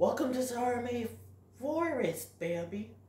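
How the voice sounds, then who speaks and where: A put-on character voice with a fairly high pitch comes through with a slight echo. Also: moderate pace. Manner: gentle, welcoming.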